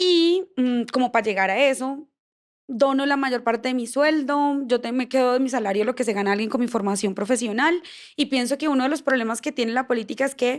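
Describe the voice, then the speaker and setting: A woman with a high pitch speaks at a fairly quick pace. The recording is very clean, with a silent background. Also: ordinary pitch variation. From Colombia, Bucaramanga (Santander). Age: 20s. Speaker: politician. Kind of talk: podcast interview. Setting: studio with live stream.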